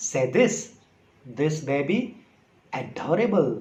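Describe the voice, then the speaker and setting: With a high pitch, a man talks at a very slow pace. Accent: Sindhi. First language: Sindhi. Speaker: English teacher on video. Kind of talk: casual tutorial talk to camera.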